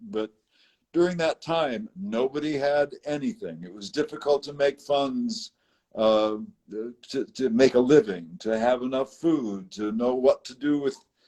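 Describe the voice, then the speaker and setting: In a dry, close sound with no echo, a man with a dark, mellow tone and a fairly high pitch talks at a fairly slow pace, his pitch swinging very widely and his loudness swinging a lot. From United States, raised all over the country. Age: 70s. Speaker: interviewee sharing life story. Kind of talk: interview conversation. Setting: live video stream.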